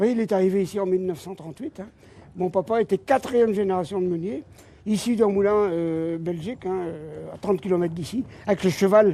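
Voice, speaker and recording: With a dark, mellow tone, a man speaks in a high voice at a fairly quick pace and with ordinary pitch variation. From French Flanders. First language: Flemish (speaking French). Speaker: miller. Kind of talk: guided tour explanation. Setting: inside a windmill. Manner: halting.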